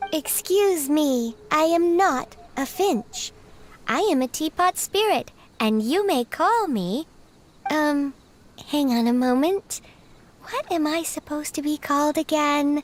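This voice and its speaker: In a put-on character voice, a high-pitched speaker talks at a fairly slow pace. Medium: video game. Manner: polite, formal.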